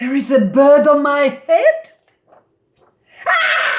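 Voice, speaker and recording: Shouting in a put-on character voice, a woman speaks at a very slow pace and a high pitch. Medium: read story. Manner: worried, fretful.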